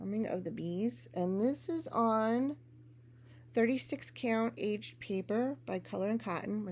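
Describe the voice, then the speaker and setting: A woman with a New York accent at a fairly slow pace. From US Northeast, Long Island, New York. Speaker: cross-stitch vlogger. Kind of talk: casual hobby vlog.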